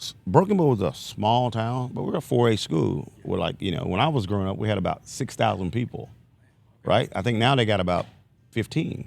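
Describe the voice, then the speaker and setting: With an American accent and vocal fry, a man at medium pitch talks at a fairly quick pace with lively intonation. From southeastern Oklahoma. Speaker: basketball coach, former player. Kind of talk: casual interview. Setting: studio in a sports store.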